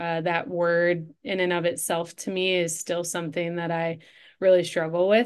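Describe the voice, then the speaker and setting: Against a quiet background, a woman with an Upper Midwest accent speaks at a fairly low pitch in a monotone, flat intonation. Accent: Upper Midwest American. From Michigan, Detroit suburbs. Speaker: coach and entrepreneur. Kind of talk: interview conversation.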